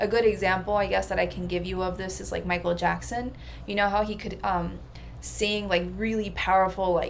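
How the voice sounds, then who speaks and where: A woman talks. Behind her, music is playing. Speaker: psychic coach. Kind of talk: casual talk to camera.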